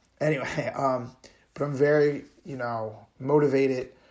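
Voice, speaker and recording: A man's medium-pitched, monotone voice with flat intonation, at a fairly slow pace, amid audible room echo. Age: 40s. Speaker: running podcaster, retired pro wrestler. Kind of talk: solo personal monologue. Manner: casual with many filler words.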